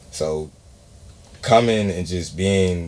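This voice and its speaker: The recording carries audible room echo as a man speaks. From Atlanta, US South. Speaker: podcast host. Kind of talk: casual interview.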